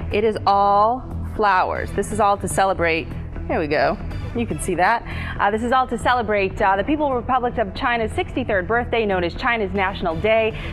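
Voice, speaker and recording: Clear music plays in the background as a woman speaks at a fairly quick pace with ordinary pitch variation. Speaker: TV news anchor. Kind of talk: TV news anchoring. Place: studio. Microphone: lapel.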